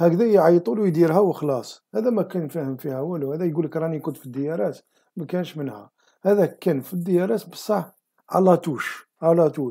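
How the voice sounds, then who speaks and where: This man's voice has a dark, mellow tone yet sits high in pitch, moving at a moderate pace with ordinary pitch variation. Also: big swings in loudness, quiet background. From Algeria. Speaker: political commentary video host. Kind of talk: monologue commentary. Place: home room. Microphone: webcam.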